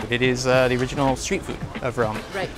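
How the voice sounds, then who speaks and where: With music in the background, a man talks at a fairly quick pace and with fairly even intonation. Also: dry sound with no echo. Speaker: food guide. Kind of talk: interview answer. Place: street. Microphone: lapel.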